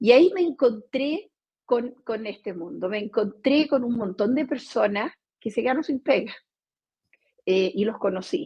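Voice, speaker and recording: A woman with a high voice speaks at a fairly slow pace, her intonation lively. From Brazil. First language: Portuguese (speaking Spanish). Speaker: company CEO. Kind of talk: interview. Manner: hesitant, many fillers.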